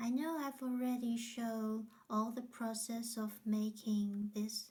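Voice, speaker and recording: A somewhat breathy woman's voice, fairly high in pitch and dark and mellow in tone, with monotone, flat intonation. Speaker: craft tutorial maker. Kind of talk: tutorial. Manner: slow.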